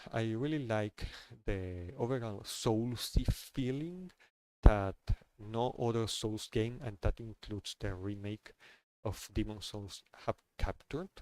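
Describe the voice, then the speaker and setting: A man with a non-native accent talks at a fairly slow pace and medium pitch, with ordinary pitch variation, in a dry, close sound with no echo. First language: not English. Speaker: gaming streamer. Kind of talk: casual monologue. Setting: live stream. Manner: halting, many fillers and repeats.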